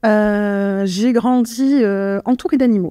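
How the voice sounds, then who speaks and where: Fairly high-pitched female voice, its pitch moving in an ordinary way. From France, Yvelines (Paris region). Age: 30s. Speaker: actuarial analyst. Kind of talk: podcast interview. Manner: halting, many hesitations.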